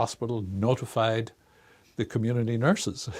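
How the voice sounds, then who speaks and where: A medium-pitched man with an Irish accent at a moderate pace, in a very clean recording with a silent background. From Ireland, Dublin. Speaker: research institute director, psychologist. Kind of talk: interview.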